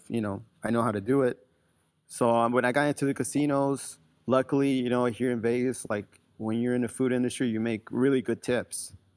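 The recording is very clean, with a silent background. A man talks at a fairly quick pace with medium pitch and fairly even intonation. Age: 30s. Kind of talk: interview. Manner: halting, many fillers.

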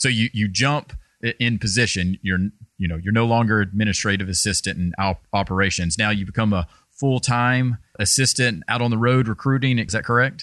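A man with a Southern US accent talks at a fairly quick pace, his pitch fairly low and his loudness very even. The background is quiet, and his pitch moves in an ordinary way. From US South, Georgia. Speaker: sports podcast host. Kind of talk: interview.

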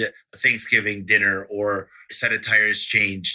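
A man's voice with a bright, sharp tone. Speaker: podcast host. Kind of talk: interview. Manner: fast.

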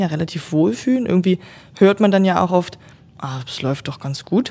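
Talking at a fairly quick pace, a woman speaks at a medium pitch. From northern German lowlands. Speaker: hospital innovation specialist, former physiotherapist. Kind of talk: interview about her master's thesis.

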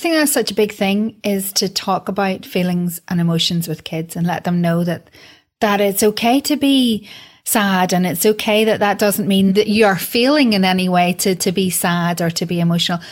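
This woman talks at a moderate pace in a medium pitch, somewhat breathy, with ordinary pitch variation. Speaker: podcast host and broadcaster. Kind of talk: interview.

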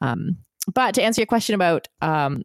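A woman with a plain, everyday voice and lively intonation speaks at a moderate pace, her dry, close sound carrying no echo on a very clean recording with a silent background. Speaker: former professional triathlete and podcaster. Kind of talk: podcast interview.

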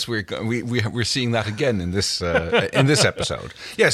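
Someone reads a text aloud in a plain way.

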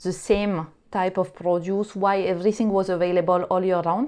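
With a French accent, the speaker talks over a quiet background. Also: woman. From France. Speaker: startup co-founder. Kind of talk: interview. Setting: remote recording. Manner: hesitant, many fillers.

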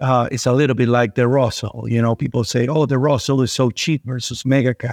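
Against a quiet background, a man speaks fairly quickly at a medium pitch with fairly even intonation, in a dry, close sound with no echo. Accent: Spanish. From Venezuela. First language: Spanish. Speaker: investment manager. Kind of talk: interview.

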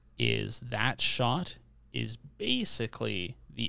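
This man has a very deep, low pitch with a bright, sharp tone and vocal fry. He talks in a Canadian accent. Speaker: podcast co-host. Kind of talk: casual chat. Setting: home recording with different microphone.

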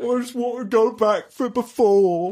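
A put-on character voice, female-sounding and high-pitched for a woman, at a fairly slow pace

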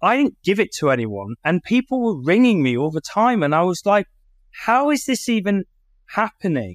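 A man with a British accent, high-pitched with very wide pitch swings at a moderate pace, in dry, close sound with no echo on a very clean recording with a silent background. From United Kingdom. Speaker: company CEO and marketing agency founder. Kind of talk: casual interview.

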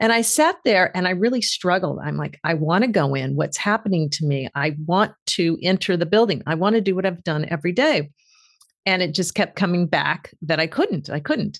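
With vocal fry and lively intonation, a woman with a fairly low pitch talks at a moderate pace. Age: 60s. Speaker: author and executive coach. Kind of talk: interview.

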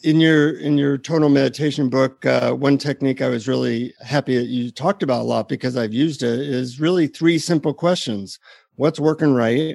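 A man with a plain, everyday voice talks at a fairly quick pace and medium pitch. The sound is dry and close, with no echo. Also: ordinary pitch variation. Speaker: podcast co-host. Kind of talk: interview conversation.

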